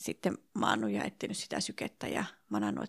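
A woman's voice, dry and close with no echo. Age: 40s. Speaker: early childhood teacher sharing infertility story. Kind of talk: interview testimony. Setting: hotel room in Helsinki.

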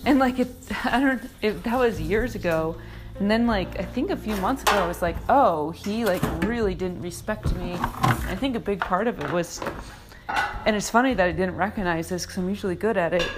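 Noticeable background noise sits under this recording. A woman talks at a fairly quick pace in a medium pitch. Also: lively intonation. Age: 30s. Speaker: podcast host, former stand-up comedian. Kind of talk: casual solo monologue while cleaning. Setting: at home in apartment.

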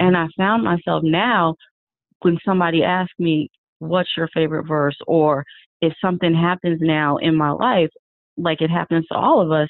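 In an ordinary speaking voice, a woman talks at a moderate pace and fairly low pitch, with fairly even intonation. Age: 40s. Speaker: math teacher and yoga author. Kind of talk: casual interview.

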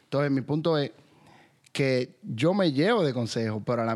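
This man has a normal speaking voice at medium pitch, with ordinary pitch variation and a moderate pace. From Dominican Republic. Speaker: podcast host. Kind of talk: casual interview.

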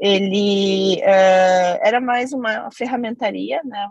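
A somewhat breathy woman's voice at medium pitch, with ordinary pitch variation and a dry, close sound with no echo. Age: 30s. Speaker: company CEO. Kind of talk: interview.

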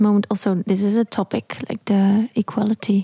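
A woman with a Dutch accent speaks at a fairly slow pace and medium pitch, her voice somewhat breathy with a dark, mellow tone and monotone, flat intonation, in a dry, close sound with no echo. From southern Netherlands. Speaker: jazz vocalist. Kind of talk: interview. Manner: halting.

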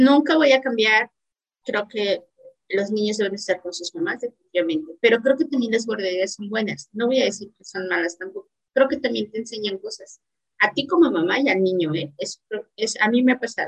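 This is an unremarkable speaking voice with lively intonation and a fairly quick pace. Its loudness swings widely. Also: woman, fairly high pitch for a woman. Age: 30s. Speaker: entrepreneur and academic. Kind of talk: casual interview.

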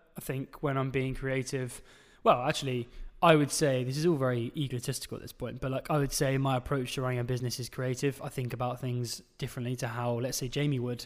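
A man's medium-pitched voice, very fast and flat in a monotone, on a very clean recording with a silent background. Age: 20s. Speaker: podcast host and agency founder. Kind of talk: casual Q&A interview. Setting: studio, filmed for video. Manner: casual with many filler words.

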